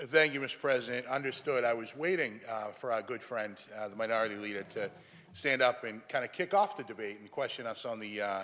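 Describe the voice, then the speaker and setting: Speaking at a fairly quick pace with a Boston accent, a man uses a medium pitch, a bright, sharp tone, ordinary pitch variation, and big swings in loudness. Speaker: state senator. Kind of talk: legislative floor speech. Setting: senate chamber. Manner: formal.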